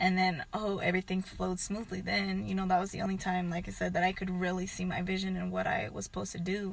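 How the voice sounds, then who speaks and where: Quiet and at a very fast pace, a woman speaks with an American accent. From southern California, Antelope Valley. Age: 20s. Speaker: YouTuber. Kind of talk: testimony.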